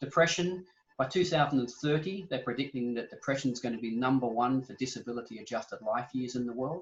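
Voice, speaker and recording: Speaking very fast in an Australian accent, a man has a medium pitch, a somewhat breathy sound and ordinary pitch variation. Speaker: exercise physiologist. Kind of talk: interview.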